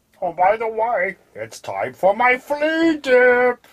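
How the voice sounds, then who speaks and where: A put-on character voice, female-sounding and high-pitched, at a very slow pace. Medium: audio drama. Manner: smug, teasing.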